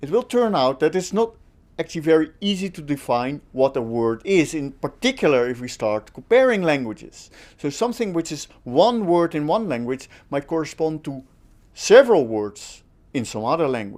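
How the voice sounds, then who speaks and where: This man has a Dutch accent and a fairly high pitch, and he speaks at a moderate pace. His pitch swings very widely. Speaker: linguistics lecturer. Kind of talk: online course lecture.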